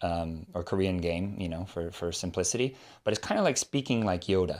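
On a very clean recording with a silent background, a man speaks with an American accent. His pitch is very deep and low, and his pace is fairly quick. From California, US. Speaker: Korean language teacher and YouTuber. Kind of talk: interview.

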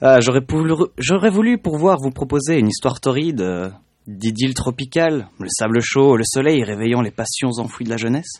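Here a man talks at medium pitch and a moderate pace. His intonation is lively, and the background is quiet. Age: 20s. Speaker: intern and multimedia student. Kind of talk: reading own text aloud. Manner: halting.

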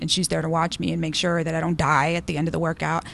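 Vocal fry with an American accent. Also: woman. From Texas border, Del Rio. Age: 30s. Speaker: weight loss interviewee. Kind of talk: interview. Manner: hesitant, with many fillers.

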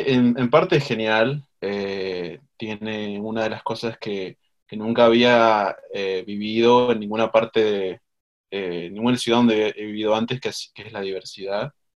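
Fairly low in pitch, a man talks at a fairly slow pace with fairly even intonation. His loudness swings widely. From Argentina, Mendoza. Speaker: writer and university instructor. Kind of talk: interview. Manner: halting.

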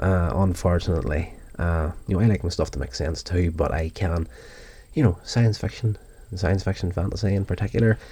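A man with a very deep, low pitch and a dark, mellow tone talks at a fairly quick pace with vocal fry. The recording is very clean, with a silent background. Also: ordinary pitch variation. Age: 40s. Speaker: podcast host reviewing TV episodes. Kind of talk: solo review monologue. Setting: recorded from YouTube video audio. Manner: casual, with fillers.

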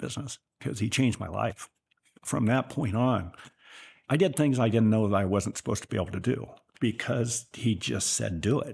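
The speaker has an American accent and vocal fry. Pitch varies in an ordinary way, and the pace is fairly quick. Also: man. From Northern California, rural Sutter County. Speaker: businessman. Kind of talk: interview.

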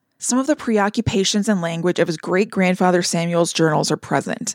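A woman talks at a fairly quick pace and medium pitch. The recording is very clean with a silent background, and the sound is dry and close with no echo. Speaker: podcast host narrator. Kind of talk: scripted narration of a paranormal article, read aloud in a storytelling tone. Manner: animated, conversational, playful.

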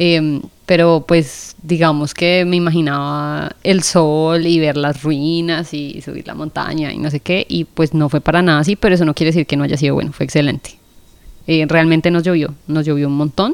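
With a Colombian accent, a woman speaks at a moderate pace in a very deep, low voice with flat, monotone intonation. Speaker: podcast host. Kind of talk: casual chat.

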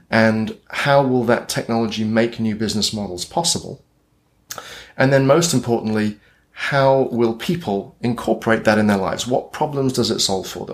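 Speaking at a moderate pace with a British accent, a man uses a medium pitch and ordinary pitch variation on a very clean recording with a silent background. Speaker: futurist and consultant. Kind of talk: casual interview.

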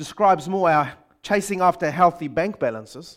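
A man with a New Zealand accent, high-pitched, with ordinary pitch variation, on a very clean recording with a silent background. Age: 50s. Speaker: pastor. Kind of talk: sermon. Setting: church.

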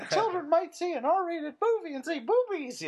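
At a moderate pace, the speaker performs a put-on character voice pitched extremely high.

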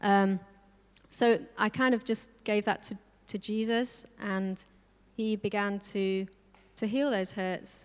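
On a very clean recording with a silent background, a woman speaks at medium pitch and a very slow pace, with fairly even intonation and long, frequent pauses. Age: 40s. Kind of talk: testimony in church interview. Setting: church service with audience.

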